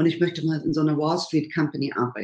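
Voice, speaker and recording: With a very deep, low pitch and a dark, mellow tone, a woman talks at a fairly quick pace. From Saxony, Erzgebirge (eastern Germany). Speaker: congress organizer, former banker. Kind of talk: interview.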